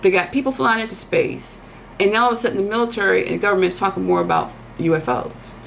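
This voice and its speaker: A woman talks at a very fast pace. There is noticeable background noise and audible room echo. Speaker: tarot reader and soul coach. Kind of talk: monologue prediction reading. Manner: animated.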